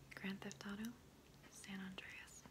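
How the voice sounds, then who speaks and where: A woman is speaking. She whispers. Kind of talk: ASMR soft-spoken talk to camera. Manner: soft-spoken, whispering.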